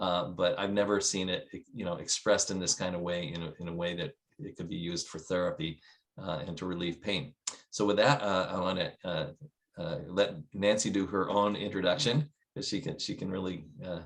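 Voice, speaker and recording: Pitch shifts in an ordinary way as the talking moves along fairly quickly. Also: man, very deep, low pitch for a man. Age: 60s. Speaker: business owner, product promoter. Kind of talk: casual introduction. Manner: halting, many filler words.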